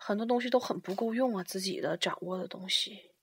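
Lively intonation lifts an unremarkable speaking voice that keeps a moderate pace. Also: woman. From Liaoning, northeast China (Shenyang). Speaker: international student. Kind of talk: casual chat. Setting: at home, drinking beer.

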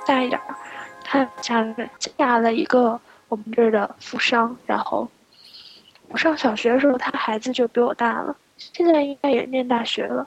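A woman's high pitch with ordinary pitch variation and a moderate pace, over noticeable background noise. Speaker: podcast co-host. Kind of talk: casual chat. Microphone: laggy connection.

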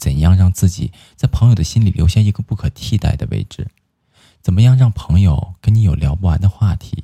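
A man speaks at a very deep, low pitch in a dark, mellow, somewhat breathy tone, with lively intonation and a fairly quick pace. The sound is dry and close, with no echo. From Inner Mongolia. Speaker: live stream host. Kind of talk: casual chat. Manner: animated.

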